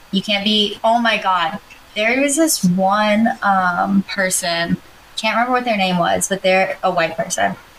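Speaking with an American accent, a woman keeps a medium pitch, fairly slow pace, ordinary pitch variation and very even loudness against noticeable background noise. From US South, Georgia. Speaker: podcast co-host. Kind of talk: casual chat.

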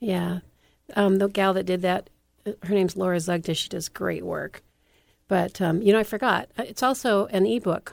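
A woman speaks at a moderate pace with an American accent. It is an ordinary speaking voice, medium in pitch, with ordinary pitch variation. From California. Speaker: author and TV producer. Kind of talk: interview. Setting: radio show.

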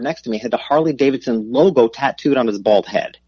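A man in a normal speaking voice talks at a fairly quick pace with lively intonation and medium pitch, the sound dry and close with no echo. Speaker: business coach and author. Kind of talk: interview.

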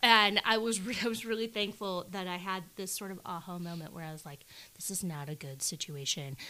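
With a bright, sharp tone at a medium pitch, a woman speaks at a fairly quick pace with ordinary pitch variation and big swings in loudness, on a very clean recording with a silent background. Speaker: author. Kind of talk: casual chat.

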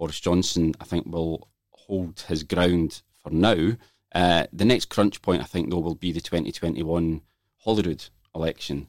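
Spoken at a moderate pace with ordinary pitch variation, the voice has a dry, close sound with no echo. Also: man, very deep, low pitch for a man. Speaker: political journalist. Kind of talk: panel discussion.

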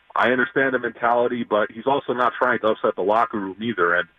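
This man has a normal speaking voice, medium in pitch with ordinary pitch variation, moving at a fairly quick pace. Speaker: caller. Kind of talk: casual sports talk. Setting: phone call.

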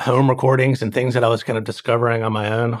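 Very clean recording, silent background: a man in an ordinary speaking voice at medium pitch, with ordinary pitch variation. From North Carolina, US South (High Point). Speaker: film and TV composer. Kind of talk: interview conversation.

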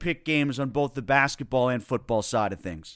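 A man with a plain, everyday voice at a moderate pace, ordinary pitch variation, and a very clean recording with a silent background. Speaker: podcast host and sports journalist. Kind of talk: radio-style interview.

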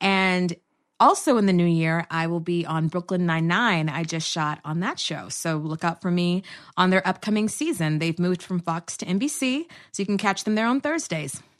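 A woman speaks in a plain, everyday voice with an American accent. Her pitch is fairly low, with ordinary variation, and her pace is moderate. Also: quiet background. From Texas. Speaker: actress and comedy producer. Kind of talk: casual chat.

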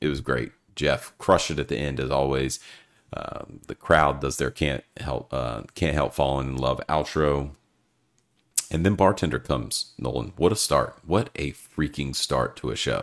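Speaking at a moderate pace, a man with a very deep, low pitch, vocal fry and ordinary pitch variation. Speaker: podcast host. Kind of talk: casual chat. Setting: video call.

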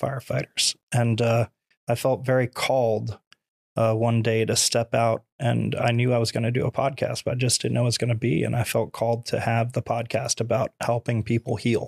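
With an American accent and a normal speaking voice, a man of medium pitch talks at a moderate pace with fairly even intonation, in a dry, close sound with no echo. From Florida. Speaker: former firefighter, mortgage lender, motivational speaker. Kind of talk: casual interview.

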